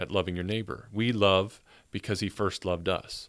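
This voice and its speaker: With a plain, everyday voice and fairly low pitch, a man speaks at a moderate pace on a very clean recording with a silent background. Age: 40s. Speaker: ministry director and part-time minister. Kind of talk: casual interview chat.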